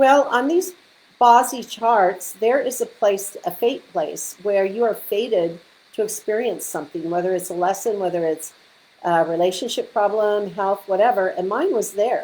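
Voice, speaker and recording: A woman has an unremarkable speaking voice at a medium pitch. Her pace is moderate and her pitch variation ordinary. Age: 60s. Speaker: feng shui consultant. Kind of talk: live stream talk. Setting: live video stream. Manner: casual.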